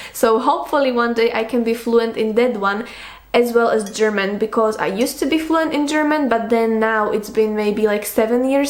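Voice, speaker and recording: A woman talks at a moderate pace in a fairly high pitch with ordinary pitch variation. Audible room echo and noticeable background noise accompany her. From Slovakia. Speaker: book youtuber. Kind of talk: casual monologue, Q&A tag video.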